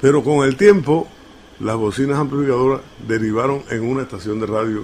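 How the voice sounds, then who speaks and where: Amid noticeable background noise, a man of medium pitch with an eastern Cuban accent speaks at a fairly quick pace with ordinary pitch variation. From Cuba, La Maya (Oriente). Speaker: radio announcer. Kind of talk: interview answer.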